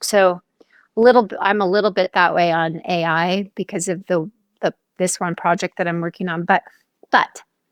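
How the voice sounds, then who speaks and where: Recorded very cleanly against a silent background, a woman speaks at a medium pitch with ordinary pitch variation in a dry, close sound with no echo. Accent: American. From US West Coast (Southern California). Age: 60s. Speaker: author and brand strategist. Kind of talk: interview conversation. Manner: halting, many fillers and restarts.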